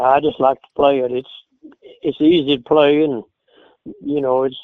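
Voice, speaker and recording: In an Appalachian accent, a man talks at a fairly slow pace and a fairly high pitch. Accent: Southern Appalachian US. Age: 80s+. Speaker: old-time banjo player. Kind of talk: interview. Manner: halting.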